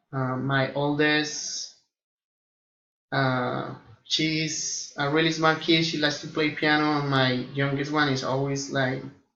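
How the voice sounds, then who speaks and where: A man with a Colombian accent speaks very slowly in a flat monotone, with audible echo from the room. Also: fairly high pitch for a man. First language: Spanish. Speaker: air force flight engineer and student. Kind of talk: self-introduction to classmates. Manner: hesitant, many fillers.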